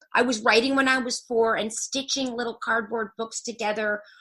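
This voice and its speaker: A woman speaks fairly quickly at a fairly high pitch against a quiet background. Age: 60s. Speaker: journalist and author. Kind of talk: interview. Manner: animated.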